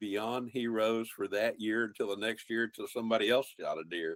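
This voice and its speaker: The speaker has a Texan accent. Intonation stays fairly even. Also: man, dry, close sound with no echo. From central Texas, Colorado County, German-speaking community. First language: German. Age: 70s. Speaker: wildlife biologist and outdoor TV host. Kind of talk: interview conversation.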